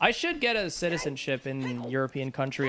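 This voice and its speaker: Noticeable background noise runs under the recording. A man with a fairly high pitch talks at a fairly quick pace, his intonation lively. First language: Spanish. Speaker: gaming streamer. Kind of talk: casual live-stream chat.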